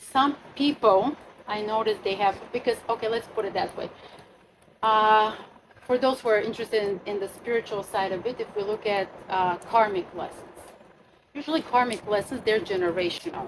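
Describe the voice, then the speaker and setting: The speaker is a woman with an unremarkable speaking voice at a moderate pace. Her pitch is fairly high, and its variation is ordinary. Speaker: astrologer leading a retreat workshop. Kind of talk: workshop talk to a group.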